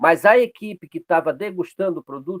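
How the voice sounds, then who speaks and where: Dry and close with no echo, the man's voice sits at a high pitch. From Pará, northern Brazil. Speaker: açaí business owner. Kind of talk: networking meeting talk.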